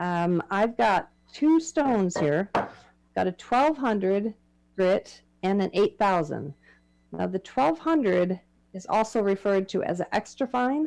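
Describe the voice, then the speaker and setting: A woman with a medium pitch speaks at a fairly slow pace, making very wide pitch swings and long, frequent pauses. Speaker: woodcarving presenter. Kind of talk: demonstration talk. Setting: club meeting with audience. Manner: halting.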